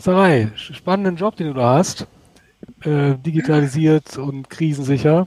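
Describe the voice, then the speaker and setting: A normal speaking voice at a fairly slow pace, in a dry, close sound with no echo. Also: man, fairly high pitch for a man, ordinary pitch variation. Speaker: podcast co-host. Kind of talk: casual chat; interview. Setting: outdoors in a garden.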